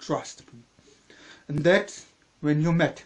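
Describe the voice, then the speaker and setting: The speaker talks at a fairly slow pace with a strong German accent. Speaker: channel owner, story reader. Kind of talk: reading aloud.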